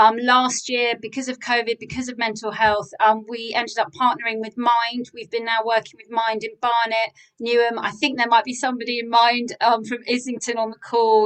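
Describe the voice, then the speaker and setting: Hardly pausing, a woman talks in a fairly high pitch with monotone, flat intonation and big swings in loudness. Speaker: workshop leader and coach. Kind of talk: presentation on video call. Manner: fast.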